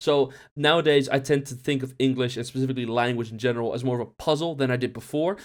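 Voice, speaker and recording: A man with a fairly high pitch at a very fast pace, in a very clean recording with a silent background. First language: Dutch. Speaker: student teacher and YouTuber. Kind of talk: casual vlog talk. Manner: hesitant, lots of filler sounds.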